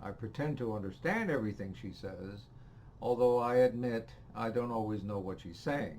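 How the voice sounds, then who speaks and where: A man with a medium pitch talks at a moderate pace, his pitch moving in an ordinary way. His loudness swings widely, and background noise is noticeable. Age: 70s. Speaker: retiree, choir member. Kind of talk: scripted personal statement.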